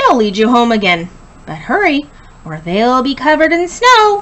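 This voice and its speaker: A woman's put-on character voice, high-pitched, raised and projected, with very wide pitch swings at a moderate pace. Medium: read story.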